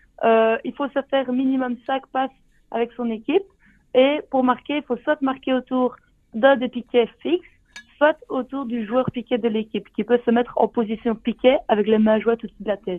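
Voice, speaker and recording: High-pitched woman at a moderate pace with ordinary pitch variation. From Belgium, Liège. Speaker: sport co-creator, physical education graduate. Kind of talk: radio interview.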